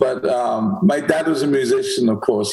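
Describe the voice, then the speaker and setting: Lively intonation and a moderate pace from a man, noticeable background noise behind him. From England, Manchester. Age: 60s. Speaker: podcast host. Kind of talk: interview.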